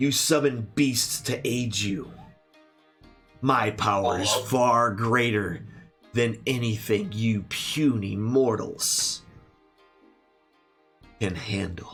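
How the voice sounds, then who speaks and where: With faint music in the background, a man performs a booming, put-on character voice at a medium pitch and a very slow pace. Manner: menacing, arrogant, boastful.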